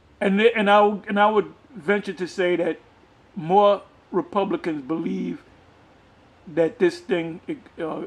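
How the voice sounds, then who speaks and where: A man talks at a fairly slow pace, his pitch varying in an ordinary way. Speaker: religious commentator. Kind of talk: reading aloud with commentary. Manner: halting.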